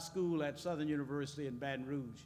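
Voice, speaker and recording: A man's voice carries audible room echo. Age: 70s. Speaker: business school dean. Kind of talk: panel speech.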